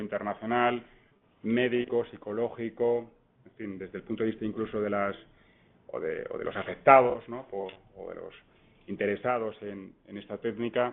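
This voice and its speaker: This man talks at a medium pitch with a monotone, flat intonation. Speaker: law professor. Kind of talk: conference talk. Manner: fast; hesitant, repeats words.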